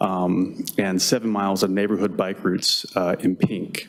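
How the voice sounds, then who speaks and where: Mumbling from a man, fairly low-pitched with fairly even intonation. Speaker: transportation planner. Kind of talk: conference presentation. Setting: workshop with audience. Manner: hesitant, many fillers.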